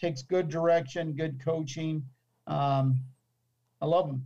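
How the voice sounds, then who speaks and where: With an American accent, a man talks at a fairly slow pace, his dark, mellow tone somewhat breathy and his pitch varying in an ordinary way. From US, Buffalo New York (teen years in Arizona). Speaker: American football special teams coach. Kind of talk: interview.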